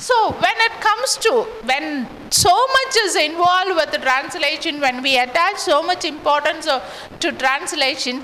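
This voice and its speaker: Projecting a raised voice at an extremely high pitch, a woman speaks at a moderate pace with very wide pitch swings, amid audible room echo and noticeable background noise. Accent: Tamil. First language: Tamil. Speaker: English lecturer. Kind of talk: lecture.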